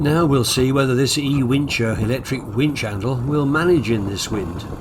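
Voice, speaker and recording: A man speaks at a moderate pace and medium pitch with ordinary pitch variation, while noticeable background noise and audible room echo come through. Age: 80s+. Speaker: sailing vlogger. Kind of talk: casual narration. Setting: outdoors on a sailboat.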